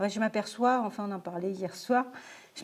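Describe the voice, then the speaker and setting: The woman here has a medium pitch and fairly even intonation. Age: 60s. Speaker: lecturer, retired software project manager. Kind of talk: lecture. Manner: halting.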